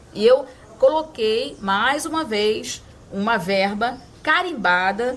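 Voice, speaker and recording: Her intonation is lively and her pitch fairly high. This woman has an ordinary speaking voice. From Aracaju, Sergipe, raised in Rio de Janeiro. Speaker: city councilwoman. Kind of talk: interview answer.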